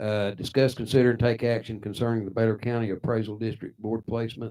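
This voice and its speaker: A man with an American accent speaks at a fairly quick pace. His tone is dark and mellow. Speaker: city mayor chairing council meeting. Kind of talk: council meeting. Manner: halting, many fillers.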